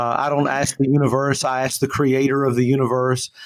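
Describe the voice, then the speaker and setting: Moderate pace and fairly high pitch from a man with an unremarkable speaking voice. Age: 50s. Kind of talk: interview.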